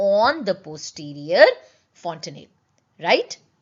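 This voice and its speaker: With a strong Indian accent, a woman talks at a moderate pace, her pitch swinging very widely. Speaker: medical exam teacher, gynaecologist. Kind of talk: online lecture. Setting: live online class.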